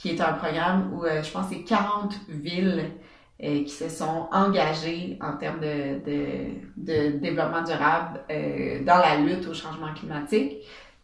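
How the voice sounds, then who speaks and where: Over noticeable background noise and audible room echo, a woman with a very deep, low pitch speaks at a fairly slow pace with ordinary pitch variation. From Quebec, Bas-Saint-Laurent. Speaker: entrepreneur, event organizer. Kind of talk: interview. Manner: halting, many fillers.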